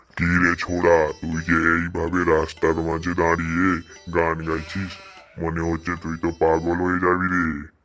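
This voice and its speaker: Using a cartoonish character voice, a man speaks with a very deep, low pitch and monotone, flat intonation. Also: moderate pace. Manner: colloquial rural Bengali, exclamatory.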